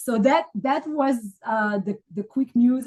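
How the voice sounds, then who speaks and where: A woman with an Israeli accent, somewhat breathy, with a dark, mellow tone and ordinary pitch variation. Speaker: academic writing coach. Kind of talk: live coaching call. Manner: halting, many fillers.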